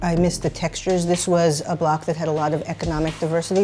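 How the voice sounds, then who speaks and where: Over music in the background, a woman speaks with an American accent in a monotone, flat intonation. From Brooklyn, New York. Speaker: playwright. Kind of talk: interview answer.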